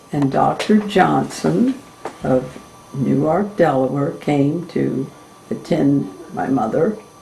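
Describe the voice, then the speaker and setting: With very wide pitch swings and a very deep, low pitch, a woman speaks at a very slow pace amid noticeable background noise and audible room echo. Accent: American. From Maryland, Cecil County. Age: 80s+. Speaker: family elder interviewee. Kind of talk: oral history interview.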